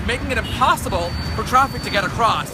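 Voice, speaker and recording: A man speaks in an energetic tone over noticeable background noise. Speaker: TV news reporter. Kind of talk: TV news report.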